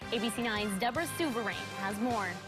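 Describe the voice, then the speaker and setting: A woman with an American accent has an ordinary speaking voice. Her pitch is fairly high, her intonation lively, and her pace fairly quick. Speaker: TV news anchor. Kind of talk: TV news anchor delivery. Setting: TV studio.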